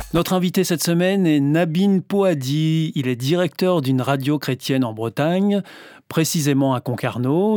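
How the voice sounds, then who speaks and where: The sound is dry and close with no echo as a man speaks in a dark, mellow tone at a fairly high pitch. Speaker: radio host interviewer. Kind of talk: interview. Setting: studio.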